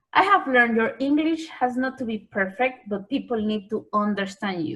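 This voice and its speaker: Moving at a moderate pace, a woman speaks with a strong Spanish accent. Her fairly high voice has lively intonation. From Panama. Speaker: journalist and TV anchor. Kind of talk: interview. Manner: lilting.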